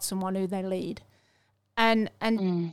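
The recording is very clean, with a silent background. A woman speaks at a moderate pace with an English accent. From England. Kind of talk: casual faith conversation.

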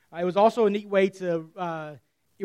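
A man speaks in a high voice with fairly even intonation. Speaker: pastor. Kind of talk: sermon. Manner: fast.

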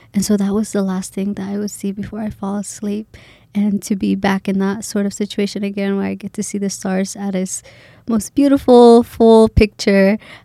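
A woman with a Somali accent speaks at a moderate pace and medium pitch in a dark, mellow tone, her intonation monotone and flat, with a dry, close sound with no echo. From Boise, Idaho (from age ~9; born Kenya, Somali family). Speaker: graduate student. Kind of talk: casual interview.

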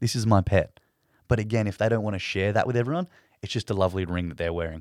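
Someone with an Australian accent speaks at a very fast pace with ordinary pitch variation. The recording is very clean, with a silent background, and sounds dry and close with no echo. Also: man. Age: young. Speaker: former zookeeper, pet cremation worker. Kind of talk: casual interview chat.

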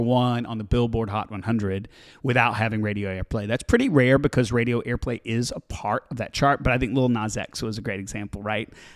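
On a very clean recording with a silent background and a dry, close sound with no echo, a man speaks at medium pitch and a moderate pace. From US South, Alabama. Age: 40s. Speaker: music promotion executive, former radio programmer. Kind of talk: casual interview.

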